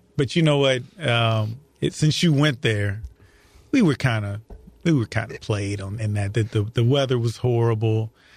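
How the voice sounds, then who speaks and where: Speaking in an American accent, a man at medium pitch sounds somewhat breathy and keeps a moderate pace. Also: ordinary pitch variation. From St. Louis area, Missouri. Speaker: county prosecutor. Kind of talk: interview. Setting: studio.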